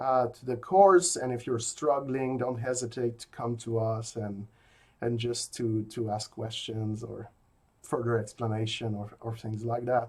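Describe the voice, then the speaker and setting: The speaker has a slight French Canadian accent and talks at a fairly slow pace. Loudness swings widely from moment to moment. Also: man. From rural Quebec. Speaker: philosophy professor. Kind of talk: recorded lecture. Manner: hesitant, many fillers.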